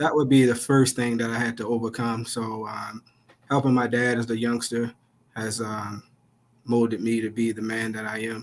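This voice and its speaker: The speaker has a Baltimore accent. The delivery is monotone and flat, at a moderate pace. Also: man, medium pitch for a man. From Baltimore, Maryland. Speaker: police officer and nonprofit founder. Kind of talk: interview.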